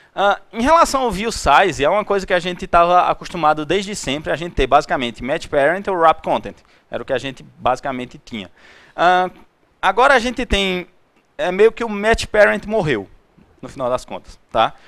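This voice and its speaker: A man's high-pitched voice with very wide pitch swings, on a very clean recording with a silent background. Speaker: tech meetup speaker. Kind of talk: technical presentation. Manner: fast; halting.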